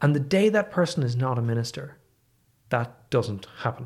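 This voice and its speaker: A man speaks in a Dublin accent with a somewhat breathy voice. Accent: Irish (Dublin). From Ireland, Dublin. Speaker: economics professor. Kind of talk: casual chat. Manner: soft-spoken.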